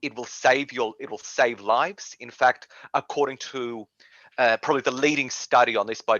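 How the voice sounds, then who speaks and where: Speaking at a moderate pace and medium pitch, a man with an Australian accent shows ordinary pitch variation. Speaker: policy advocate. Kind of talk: interview.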